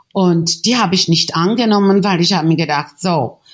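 A woman speaks at a moderate pace with a Czech accent. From Czechoslovakia. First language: Czech (speaking German). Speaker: painter and photographer. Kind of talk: interview. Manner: halting.

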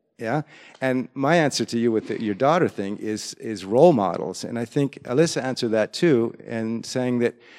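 In an American accent, a man talks in a normal speaking voice at a moderate pace, medium pitch and ordinary pitch variation. The sound is dry and close with no echo, over a quiet background. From US. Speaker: music educator. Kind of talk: presentation. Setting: stage with audience.

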